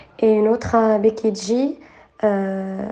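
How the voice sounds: A woman's medium-pitched voice, dark and mellow in tone, with fairly even intonation and audible room echo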